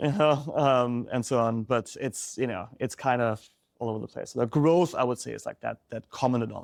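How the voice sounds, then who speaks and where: With a German accent, a man talks at a fairly quick pace and medium pitch, his pitch varying in an ordinary way, in a dry, close sound with no echo. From Germany. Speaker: startup founder. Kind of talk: interview.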